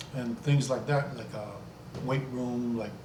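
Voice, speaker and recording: Noticeable background noise and audible room echo surround a man. He speaks at a medium pitch with ordinary pitch variation. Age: 60s. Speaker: travel vlogger. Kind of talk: casual monologue vlog. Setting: home video recording with green screen. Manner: halting.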